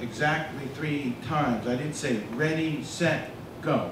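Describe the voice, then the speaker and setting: A man with an American accent talks at a fairly high pitch. Both background noise and room echo are noticeable. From US Northeast, New Jersey. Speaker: data scientist giving a lecture. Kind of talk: lecture. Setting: stage with audience.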